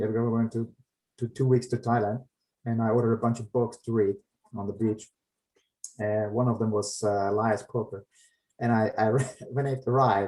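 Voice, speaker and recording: With a German accent, this somewhat breathy voice has a dark, mellow tone, flat monotone intonation and a fairly quick pace. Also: man. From Germany, later Finland; Yugoslav parents. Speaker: comic artist and finance professional. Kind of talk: casual chat. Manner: halting.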